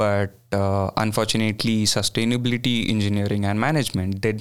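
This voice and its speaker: A man speaks with an Indian accent. His voice is fairly low, with ordinary pitch variation. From India, Bangalore. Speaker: graduate student. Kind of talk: casual interview. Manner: hesitant, many fillers.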